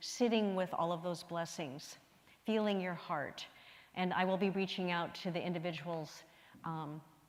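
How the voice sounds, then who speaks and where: A woman with a medium pitch speaks at a moderate pace with fairly even intonation, and the room echo is audible. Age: 70s. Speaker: minister. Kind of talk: sermon.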